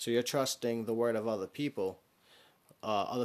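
An unremarkable speaking voice from a man with an American accent, fairly low in pitch, at a moderate pace with fairly even intonation, over a quiet background. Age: 30s. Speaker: podcast host. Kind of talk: casual solo monologue.

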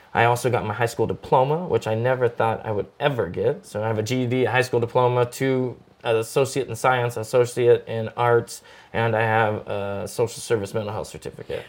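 The recording is very clean with a silent background. A man talks at a fairly quick pace in a medium pitch. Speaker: actor and producer. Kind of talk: casual chat. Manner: energetic.

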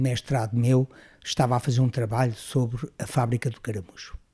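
A man's dark, mellow, somewhat breathy voice at a moderate pace, in a dry, close sound with no echo. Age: 70s. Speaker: retired engineering professor. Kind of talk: interview. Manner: halting.

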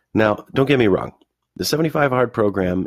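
A man with an American accent swings his pitch very widely, in a dry, close sound with no echo and a very clean, silent background. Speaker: firefighter podcast host. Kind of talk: solo podcast monologue.

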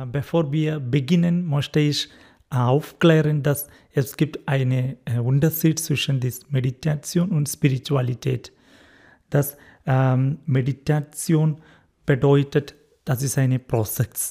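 Very slowly and with fairly even intonation, a man speaks in a somewhat breathy, dark, mellow tone at a fairly high pitch. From India, Kerala. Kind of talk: interview; guided meditation. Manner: halting.

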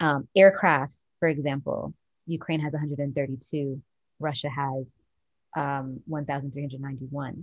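A woman speaks very slowly with a very deep, low pitch and fairly even intonation, recorded in a dry, close sound with no echo. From Jamaica. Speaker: podcast co-host. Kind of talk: casual chat.

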